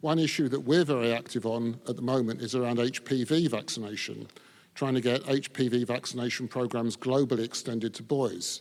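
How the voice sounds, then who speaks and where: On a very clean recording with a silent background, a man speaks at a moderate pace and medium pitch, his intonation fairly even. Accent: English. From England. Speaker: men's health advocate. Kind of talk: panel discussion.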